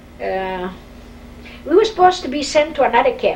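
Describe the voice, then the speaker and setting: A woman with a Polish accent, moderate pace and very wide pitch swings. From Poland, Warsaw. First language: Polish or Yiddish. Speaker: Holocaust survivor. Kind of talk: oral history interview.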